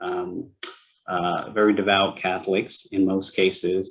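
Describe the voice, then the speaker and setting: This man's voice sits fairly low in pitch. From US, moved from Hong Kong at age two. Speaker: panelist. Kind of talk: panel discussion. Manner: hesitant, repeats words.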